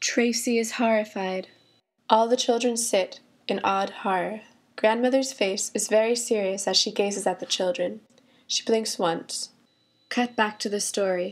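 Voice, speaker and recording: A normal speaking voice from a woman, fairly high in pitch, at a moderate pace, on a very clean recording with a silent background. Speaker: student audio drama creator. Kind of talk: audio drama stage directions.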